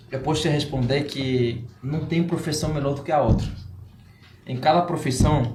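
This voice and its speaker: A man with a Spanish accent speaks at a moderate pace with fairly even intonation. The room echo is audible, and there is noticeable background noise. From Cuba. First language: Spanish (speaking Portuguese). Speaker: entrepreneur. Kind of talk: podcast interview. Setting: live-streamed podcast studio.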